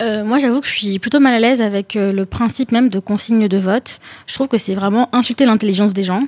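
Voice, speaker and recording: Her pitch fairly high and her intonation fairly even, a woman speaks at a very fast pace in a dry, close sound with no echo. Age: 20s. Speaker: young political activist. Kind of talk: panel discussion.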